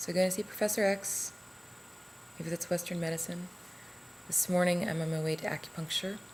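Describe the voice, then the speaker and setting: Someone speaks at a moderate pace with ordinary pitch variation amid noticeable background noise. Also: woman. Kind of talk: casual talk to camera.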